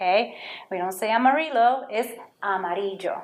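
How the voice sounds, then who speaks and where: Someone speaks with a Puerto Rican accent amid audible room echo. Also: woman. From Puerto Rico. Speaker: Spanish teacher. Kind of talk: lesson for children. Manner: slow, clear enunciation.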